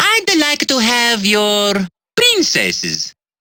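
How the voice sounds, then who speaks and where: A female-sounding, put-on character voice speaks at a fairly high pitch and a very slow pace. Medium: video game. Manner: cheerful, playful.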